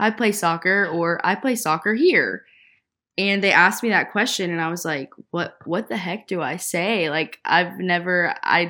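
On a very clean recording with a silent background, a woman speaks in a Southern US accent. Her fairly low voice has a bright, sharp tone and ordinary pitch variation. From Nashville, Tennessee. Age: 20s. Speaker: podcast co-host, former college soccer player. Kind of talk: casual chat.

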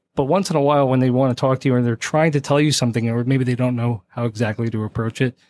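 Speaking in an American accent at a very fast pace with hardly any pauses, a man keeps very even loudness and fairly even intonation, in a very clean recording with a silent background and a dry, close sound with no echo. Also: medium pitch for a man. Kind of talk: casual interview. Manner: calm, even-tempered.

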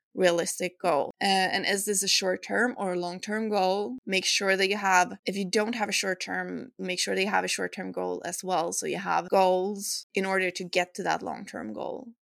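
At a moderate pace with hardly any pauses, the speech comes through on a very clean recording with a silent background and a dry, close sound with no echo. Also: woman. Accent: Swedish. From Sweden. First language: Swedish. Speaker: fitness coach and podcast host. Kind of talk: solo podcast advice talk.

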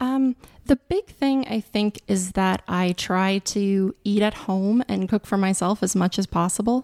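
A woman speaks in a plain, everyday voice at medium pitch, fairly slowly, with ordinary pitch variation and very even loudness, in a dry, close sound with no echo. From Montana, US. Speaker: lawyer. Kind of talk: interview.

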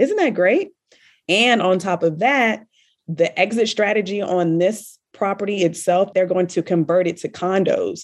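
This woman has an unremarkable speaking voice with an American accent. She talks at a fairly slow pace with medium pitch and ordinary pitch variation. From US South, Richmond, Virginia. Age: 30s. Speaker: real estate investor. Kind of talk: interview.

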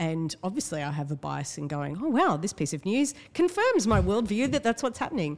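A woman talks at a fairly quick pace with an Australian accent. Her pitch swings very widely. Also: medium pitch for a woman, hardly any pauses. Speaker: writer and activist. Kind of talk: casual chat. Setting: studio.

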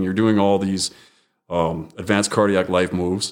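In a very clean recording with a silent background, a man with a normal speaking voice talks at a moderate pace and a fairly low pitch. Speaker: firefighter and radio podcaster. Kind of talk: casual interview chat. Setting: podcast recording.

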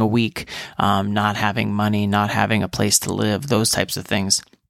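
Fairly low in pitch, this man has an ordinary speaking voice. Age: 30s. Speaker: physician podcast host. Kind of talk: casual monologue podcast.

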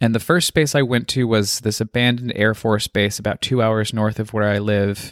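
A man with an unremarkable speaking voice speaks at medium pitch with hardly any pauses, fairly even intonation, and very even loudness, and the very clean recording has a silent background and a dry, close sound with no echo. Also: moderate pace. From Colorado. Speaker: podcast creator and artist. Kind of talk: interview conversation.

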